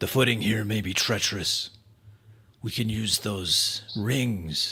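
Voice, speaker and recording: A man's raspy, put-on character voice at a medium pitch, fairly slow and with fairly even intonation. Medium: actual play. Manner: measured, cautious.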